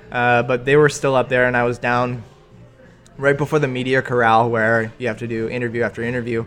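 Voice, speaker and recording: Speaking at a fairly quick pace in a Canadian accent, a man with a medium-pitched voice keeps a monotone, flat intonation while music plays in the background. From Canada, Ontario (Milton). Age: 20s. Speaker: freestyle skier, Olympic athlete. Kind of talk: interview. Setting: coffee shop.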